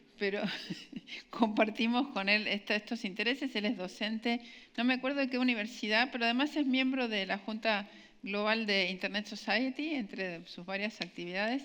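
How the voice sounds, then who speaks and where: Woman's fairly high voice, bright and sharp in tone, with ordinary pitch variation against a quiet background. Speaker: event moderator and engineer. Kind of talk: speaker introduction. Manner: fast.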